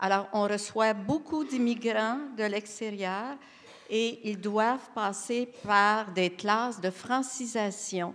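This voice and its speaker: Very slowly, a woman with a fairly high pitch speaks with ordinary pitch variation. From Quebec. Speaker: education panelist. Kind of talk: round table discussion.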